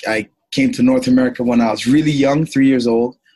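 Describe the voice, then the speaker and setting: A man with a slight Jamaican accent talks at a moderate pace with monotone, flat intonation. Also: dry, close sound with no echo. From Toronto, Canada. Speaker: former pro football player and speaker. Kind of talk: interview. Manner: many fillers and repetitions.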